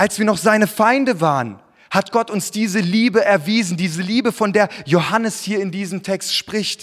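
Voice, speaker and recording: This man has a high pitch and an animated tone. His pace is moderate and his pitch variation ordinary. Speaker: preacher. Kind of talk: sermon. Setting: church. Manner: earnest, warm, conversational preaching with personal anecdotes; animated, rhetorical questions and direct address to congregation.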